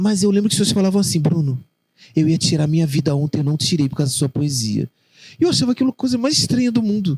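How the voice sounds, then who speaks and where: With a dark, mellow tone and a fairly high pitch, a man talks at a very fast pace in very wide pitch swings, the sound dry and close with no echo. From Rio de Janeiro, Realengo (West Zone). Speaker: poet and children's author. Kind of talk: interview conversation.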